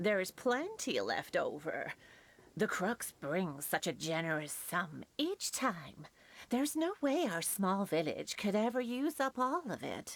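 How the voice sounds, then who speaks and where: In a very clean recording with a silent background, a woman does a put-on character voice at a medium pitch, fairly slow, with very wide pitch swings. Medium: video game. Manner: warm, chatty.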